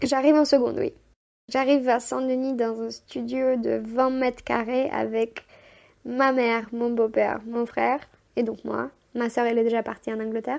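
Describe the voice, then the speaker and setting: At a moderate pace, a woman with an ordinary speaking voice and a fairly high pitch talks with fairly even intonation. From Moldova (Chisinau). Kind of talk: podcast interview answer, personal storytelling. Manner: casual, conversational.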